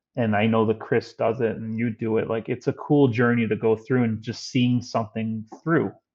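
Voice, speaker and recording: With hardly any pauses, a man talks in a monotone, flat intonation. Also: medium pitch for a man. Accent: American. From Chicago, South Side. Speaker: former sports radio producer. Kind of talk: podcast interview. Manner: fast.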